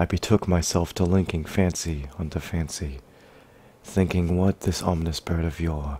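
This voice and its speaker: Whispering, the speaker stays soft-spoken throughout. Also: man. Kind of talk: poetry reading. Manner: soft-spoken, whispered.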